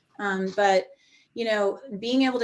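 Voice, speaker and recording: Here a woman speaks in a plain, everyday voice at a medium pitch with ordinary pitch variation. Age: 50s. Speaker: recovering alcoholic sharing her story. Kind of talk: testimony.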